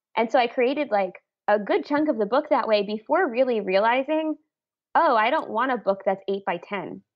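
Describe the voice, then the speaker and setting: At a moderate pace, a woman speaks with a normal speaking voice. Her pitch is fairly high and her intonation lively. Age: 30s. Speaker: illustrator and author. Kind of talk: casual interview.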